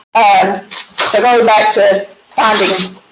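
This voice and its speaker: A woman speaks with an American accent and ordinary pitch variation. Room echo is audible. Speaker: math teacher. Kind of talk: lecture.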